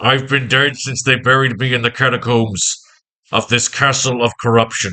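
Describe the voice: The background is quiet. The voice is plain reading aloud.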